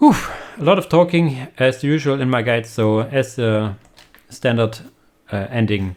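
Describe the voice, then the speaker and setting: A man with a German accent, ordinary pitch variation, a moderate pace and long, frequent pauses. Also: medium pitch for a man. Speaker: video game content creator. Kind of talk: game commentary tutorial. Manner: hesitant, many fillers.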